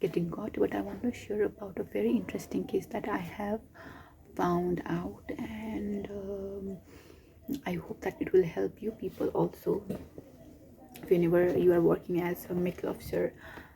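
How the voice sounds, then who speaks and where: A woman speaks quietly. She leaves long pauses, and they come often. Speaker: doctor. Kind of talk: vlog. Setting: hospital. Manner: slow.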